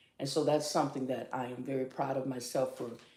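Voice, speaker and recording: This woman's pitch is very deep and low, and she talks at a moderate pace. Room echo is audible. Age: 60s. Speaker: morning show host and life coach. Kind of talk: casual chat.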